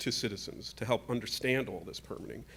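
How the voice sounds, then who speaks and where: On a very clean recording with a silent background, a man speaks fairly quickly at a medium pitch, with vocal fry and ordinary pitch variation. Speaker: housing developer and lecturer on panel. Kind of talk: conference panel presentation. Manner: fast.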